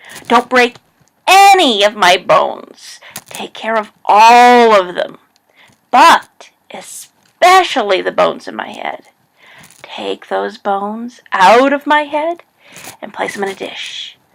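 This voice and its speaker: A woman puts on a character voice with a fairly high pitch. She goes at a fairly slow pace with long, frequent pauses. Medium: read story.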